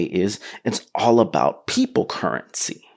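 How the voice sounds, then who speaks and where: Vocal fry runs through a man's animated delivery as his pitch swings very widely. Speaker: podcast host. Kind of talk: solo podcast monologue. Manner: fast.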